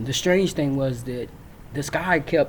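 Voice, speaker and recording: With an American accent, a man talks at a moderate pace and medium pitch against noticeable background noise. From Virginia, US South. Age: 60s. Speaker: military veteran storyteller. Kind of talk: personal storytelling. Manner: halting, frequent fillers.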